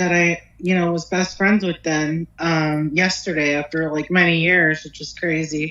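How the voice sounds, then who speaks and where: A woman with a Pennsylvania accent, fairly low in pitch, flat and monotone, at a fairly slow pace with hardly any pauses. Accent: US Northeast (Pennsylvania). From northeastern Pennsylvania. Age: 30s. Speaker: hair and makeup artist. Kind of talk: interview. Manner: halting.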